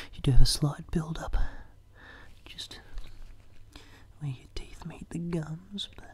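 A man whispers. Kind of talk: soft role-play talk to the viewer. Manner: soft-spoken close ASMR voice. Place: home room. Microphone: phone near.

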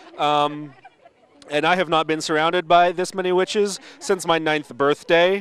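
A man with fairly even intonation, in a dry sound with no echo. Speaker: event host or reporter. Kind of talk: humorous on-location commentary. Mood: joking, playful. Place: street. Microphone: handheld.

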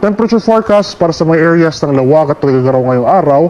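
A man speaks with a fairly high pitch. Noticeable background noise can be heard. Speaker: weather forecaster. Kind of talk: televised weather forecast briefing, Taglish. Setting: studio. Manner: steady, measured official delivery with occasional 'uh' fillers; clear explanatory tone, glossing technical terms in plain Filipino.

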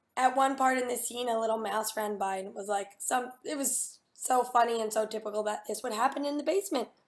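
With hardly any pauses, a woman talks at a fairly quick pace in a fairly high pitch, her pitch varying in an ordinary way. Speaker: voice actor; voice actor recalling a recording session. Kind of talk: interview answer. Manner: casual, hesitant. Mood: amused, lively. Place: home room. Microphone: webcam.

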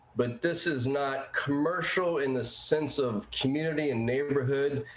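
A man speaks at a fairly high pitch and a fairly slow pace. Audible room echo and noticeable background noise sit behind him. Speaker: public commenter at a planning hearing. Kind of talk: public comment at remote meeting. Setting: remote meeting call.

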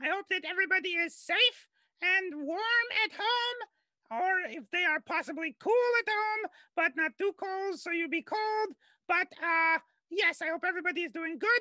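A put-on character voice at an extremely high pitch shouts loudly at a moderate pace. The recording is very clean, with a silent background. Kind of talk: live show hosting. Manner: loud, shouting.

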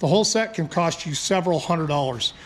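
A man at a fairly quick pace, with light background noise. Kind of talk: tutorial. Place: garage. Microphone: phone near.

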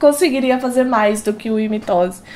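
Light background noise is present. A woman speaks over it at a moderate pace. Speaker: reaction youtuber. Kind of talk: casual reaction vlog chat. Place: home room. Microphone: headset.

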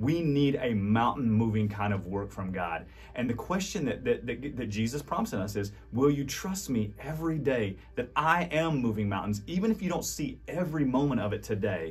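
This man speaks at a moderate pace with hardly any pauses, his warm tone edged with vocal fry. His pitch swings very widely. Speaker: pastor. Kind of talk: devotional message ending in fervent prayer, spoken directly to the audience. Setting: recorded video message to online audience. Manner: earnest, pleading, heartfelt; halting and repetitive in prayer with restarts; warm, encouraging, sincere. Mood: earnest, warm, hopeful. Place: studio.

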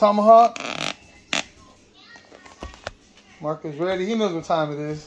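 Over noticeable background noise, a man talks at a fairly quick pace with ordinary pitch variation. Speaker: pet owner vlogger. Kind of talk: casual vlog chat. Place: kitchen. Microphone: phone near.

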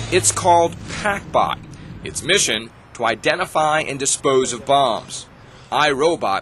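In a plain, everyday voice, a man speaks at a fairly slow pace and a fairly high pitch with lively intonation. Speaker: news anchor. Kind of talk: TV news report narration.

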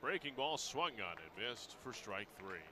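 A man speaks over noticeable background noise. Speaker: baseball radio announcer. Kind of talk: live baseball play-by-play commentary.

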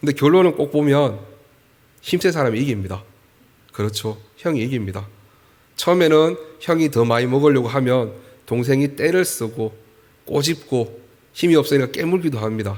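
A man's fairly high voice with lively intonation at a moderate pace, with long, frequent pauses. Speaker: pastor. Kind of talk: sermon.

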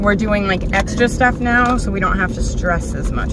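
Over loud background noise, a woman speaks at a moderate pace, the sound dry with no echo. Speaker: makeup vlogger. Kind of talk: casual vlog chat. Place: car. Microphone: phone near.

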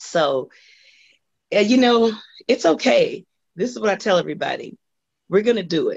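A woman with an American accent, in a dry, close sound with no echo. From US West (Los Angeles). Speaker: singer. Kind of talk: interview.

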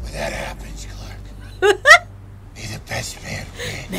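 With clear background noise behind him, a man uses a raised, projected character voice at a fairly slow pace. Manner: serious, gravelly.

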